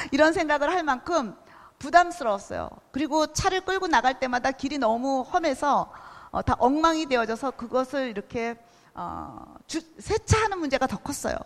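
Her intonation lively, a woman talks at a moderate pace with a high pitch. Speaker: missionary. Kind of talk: sermon. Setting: church.

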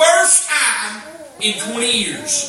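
A man speaks in a raised, projected voice with an animated tone. Noticeable background noise runs behind him. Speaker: preacher. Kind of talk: sermon. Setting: church. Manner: animated, call-and-response, with crowd prompts like 'say amen'; conversational, emphatic repetition and stumbling phrases.

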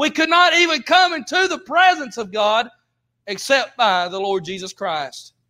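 A man's raised, projected voice with a Southern US accent, extremely high-pitched with very wide pitch swings and a bright, sharp tone, at a moderate pace on a very clean recording with a silent background. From US South. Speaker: preacher. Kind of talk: sermon. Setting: church.

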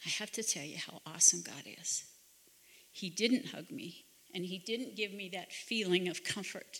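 A normal speaking voice at a moderate pace with ordinary pitch variation. The loudness swings a lot. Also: woman, medium pitch for a woman. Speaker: retreat speaker. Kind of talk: testimony.

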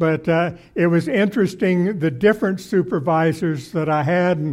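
Heard on a very clean recording with a silent background, a man speaks fairly slowly at a high pitch with ordinary pitch variation. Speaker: retired pastor, guest preacher. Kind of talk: sermon. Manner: halting, many filler sounds.

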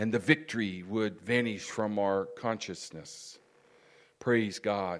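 A man's fairly low voice at a very slow pace, in a very clean recording with a silent background. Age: 60s. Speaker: pastor. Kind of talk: sermon. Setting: church.

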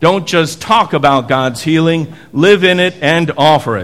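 An unremarkable speaking voice moves at a fairly slow pace with lively intonation. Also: man. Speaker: pastor. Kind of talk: liturgy and benediction. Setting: church.

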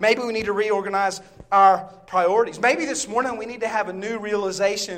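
Over noticeable background noise, a man with a Southern US accent speaks at a high pitch and a fairly quick pace. His tone is animated, with big swings in loudness. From US South, Bible Belt. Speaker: visiting preacher. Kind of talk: sermon. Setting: church.

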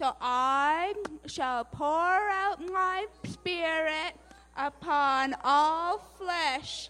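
A put-on character voice comes through at a high pitch. The pace is very slow.

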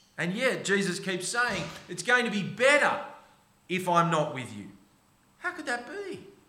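With an Australian accent, a man projects a raised, high-pitched voice with big swings in loudness and long, frequent pauses, amid audible room echo and noticeable background noise. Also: lively intonation, moderate pace. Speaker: pastor. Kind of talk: sermon. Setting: church.

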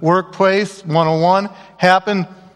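Noticeable background noise sits behind a man with a high-pitched voice. He talks at a moderate pace with ordinary pitch variation. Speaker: guest speaker at a church. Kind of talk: comedic storytelling talk.

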